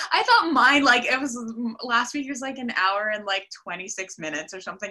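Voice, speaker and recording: A woman speaks very fast in a raised, projected voice, her pitch swinging very widely. Noticeable background noise runs underneath. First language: Russian. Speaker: actor. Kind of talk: casual interview. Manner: talkative, fast.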